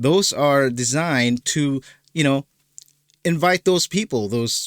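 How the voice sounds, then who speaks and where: Speaking very slowly with a non-native accent, a man uses a fairly high pitch and ordinary pitch variation. The recording is very clean and dry, close with no echo, over a silent background. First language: not English. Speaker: political commentary youtuber. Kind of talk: reaction video commentary. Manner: halting, many fillers and repeats.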